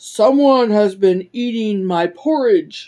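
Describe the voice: A female-sounding put-on character voice, fairly high in pitch, speaks at a fairly slow pace.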